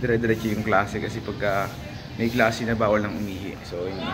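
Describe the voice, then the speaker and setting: A man speaks at a fairly quick pace in a fairly low voice with fairly even intonation, with noticeable background noise and audible room echo. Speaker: college student vlogger. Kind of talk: casual vlog. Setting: school, library and store. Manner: whispering in library.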